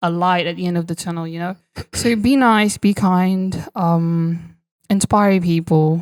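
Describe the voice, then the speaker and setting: A woman's fairly low voice in a British accent, with fairly even intonation and a fairly slow pace. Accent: British-sounding. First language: Portuguese. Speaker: competitive swimmer. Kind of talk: casual chat.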